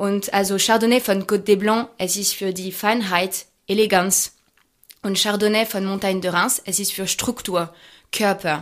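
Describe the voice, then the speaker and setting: Delivered in a French accent at a moderate pace, the monotone, flat speech sits on a very clean recording with a silent background. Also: woman, medium pitch for a woman. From France, Champagne region. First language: French (speaking German). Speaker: champagne brand ambassador. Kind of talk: interview about wine tasting. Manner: halting, many fillers.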